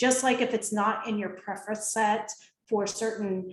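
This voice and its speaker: Audible room echo surrounds a woman with a General American accent speaking at a moderate pace. Her somewhat breathy voice is fairly high in pitch, with fairly even intonation. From US Midwest, Ohio. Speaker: behavioral consultant and coach. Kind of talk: interview with presentation.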